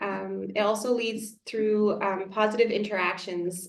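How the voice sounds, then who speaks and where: A woman speaks at a fairly slow pace and medium pitch. Her intonation is monotone and flat. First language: French. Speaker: elementary school teacher. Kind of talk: community workshop presentation. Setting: small room with a few parents.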